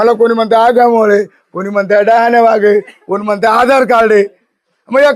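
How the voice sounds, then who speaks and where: An animated man at an extremely high pitch. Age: 60s. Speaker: local politician. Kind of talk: press interview.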